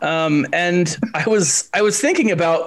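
This is a man speaking. His pitch is high. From Texas. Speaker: gaming YouTuber. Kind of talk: casual chat.

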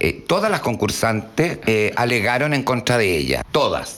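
A man with a Chilean accent speaks at a fairly slow pace and medium pitch, with ordinary pitch variation. Noticeable background noise is present. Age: 50s. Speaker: drag performer. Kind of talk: casual interview.

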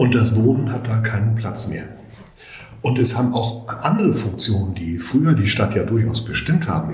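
The recording carries audible room echo and noticeable background noise. A man speaks at a moderate pace. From Hamburg, northern Germany. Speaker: urban planning professor. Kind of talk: interview.

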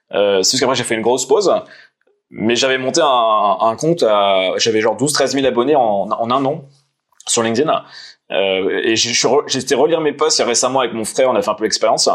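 This man has an ordinary speaking voice, medium in pitch, with ordinary pitch variation and a moderate pace. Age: 30s. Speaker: author and entrepreneur, former poker player. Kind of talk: casual interview.

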